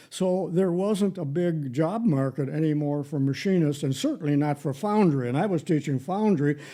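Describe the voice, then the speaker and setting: This man has an American accent and a dark, mellow tone at a fairly high pitch. He speaks at a moderate pace with ordinary pitch variation. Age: 80s+. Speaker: retired shop teacher. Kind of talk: casual chat.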